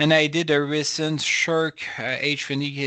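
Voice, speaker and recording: A man talks with a French accent. His tone is bright and sharp, at a moderate pace. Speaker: professor. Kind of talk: lecture. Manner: halting.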